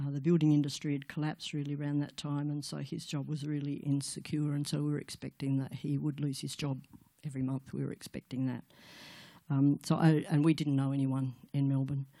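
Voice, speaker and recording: With an Australian accent, a woman with a very deep, low voice speaks in a flat monotone at a moderate pace, with hardly any pauses. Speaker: guest speaker at church women's event. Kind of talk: testimony.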